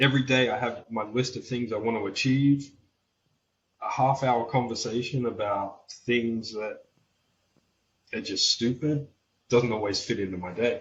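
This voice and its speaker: A somewhat breathy man talks at a moderate pace and a medium pitch. His intonation is fairly even, and he takes long, frequent pauses. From Australia. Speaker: welder and metal fabricator. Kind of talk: podcast interview.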